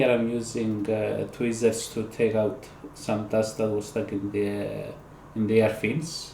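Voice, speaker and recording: Speaking at a fairly slow pace, a man uses a fairly low pitch and monotone, flat intonation. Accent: non-native. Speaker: PC repair hobbyist. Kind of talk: tutorial voice-over. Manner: casual, hesitant.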